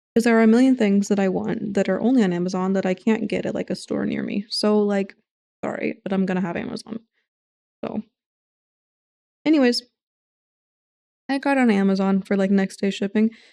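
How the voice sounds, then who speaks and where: A woman talks at a fairly quick pace in a dark, mellow tone of medium pitch, mumbling. She leaves long, frequent pauses. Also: dry, close sound with no echo. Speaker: livestreamer. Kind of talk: casual chat. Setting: home livestream at desk. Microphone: desk mic tilted close.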